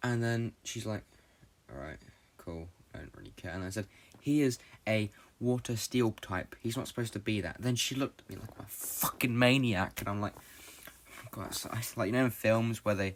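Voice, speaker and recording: A man with a British accent speaks at a medium pitch. His loudness swings widely, while his pitch varies in an ordinary way. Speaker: podcast host. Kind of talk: casual monologue. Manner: fast; halting.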